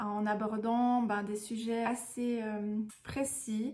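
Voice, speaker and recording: A somewhat breathy woman's voice at a fairly high pitch. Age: 30s. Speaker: vlogger, mother. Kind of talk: personal storytelling vlog. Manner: casual, hesitant with frequent fillers.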